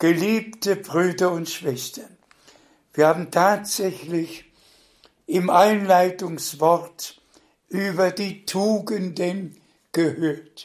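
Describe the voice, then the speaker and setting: Speech unfolds at a very slow pace. Pauses come often and last long. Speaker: preacher. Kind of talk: sermon. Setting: online broadcast. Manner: formal.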